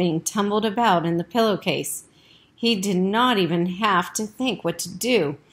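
Ordinary pitch variation in plain reading aloud

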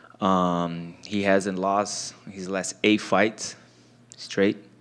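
A man talks at a very slow pace in a Portuguese accent. His pitch sits fairly low. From Brazil. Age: 30s. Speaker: mixed martial arts fighter. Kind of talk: post-fight press interview. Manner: halting, many fillers and repeats. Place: meeting room. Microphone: handheld.

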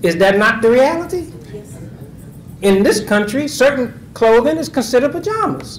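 A man with an extremely high pitch speaks at a moderate pace and with lively intonation, and the room echo is audible.

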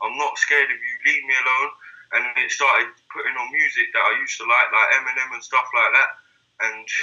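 A man talks fairly quickly. Nothing much stirs in the quiet background. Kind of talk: personal testimony in a video call. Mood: earnest, subdued, personal. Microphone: video call.

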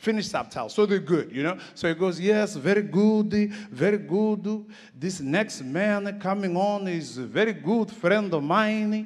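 A man with a high pitch talks at a fairly slow pace. He uses ordinary pitch variation against a quiet background. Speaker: conference speaker. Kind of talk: comic storytelling talk. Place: stage. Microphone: handheld.

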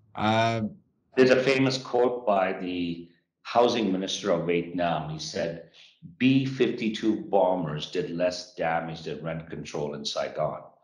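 A man with a very deep, low pitch at a fairly slow pace, big swings in loudness and audible room echo. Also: lively intonation. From born in Japan, Sikh Punjabi family, Western Canada. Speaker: real estate company founder and CEO; guest. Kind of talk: interview. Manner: animated. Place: office. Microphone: video call.

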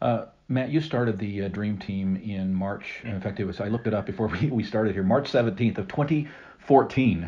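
At a fairly quick pace, a man speaks in an ordinary speaking voice with a fairly low pitch and ordinary pitch variation. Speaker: podcast host. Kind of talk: interview. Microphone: phone backup recording, poor audio.

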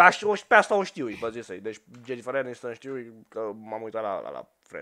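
Loudness swings widely as this animated voice moves at a moderate pace, its tone bright and sharp, its intonation lively, over a quiet background. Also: man, medium pitch for a man. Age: 20s. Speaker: gaming youtuber. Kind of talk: casual chat. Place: home room. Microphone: headset.

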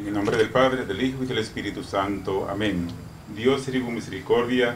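Noticeable background noise sits behind a man whose fairly low voice moves at a moderate pace. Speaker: deacon. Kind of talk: blessing prayer. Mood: solemn, calm. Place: hall. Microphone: handheld.

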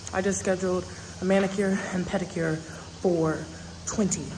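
A woman's monotone, flat delivery over noticeable background noise. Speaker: travel vlogger. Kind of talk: casual vlog chat. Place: garden. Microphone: earbuds.

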